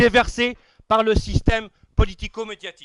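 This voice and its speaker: The man's pitch is extremely high. He talks at a fairly slow pace. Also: dry, close sound with no echo. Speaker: dinner organizer and speaker. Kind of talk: after-dinner speech. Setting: dinner hall with audience. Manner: formal.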